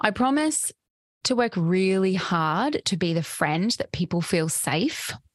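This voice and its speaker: Over a quiet background, a warm voice with an Australian accent moves very slowly, with ordinary pitch variation. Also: woman. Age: 30s. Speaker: podcast host, psychotherapist and embodiment coach. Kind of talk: reflective solo monologue. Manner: warm, frequent laughter.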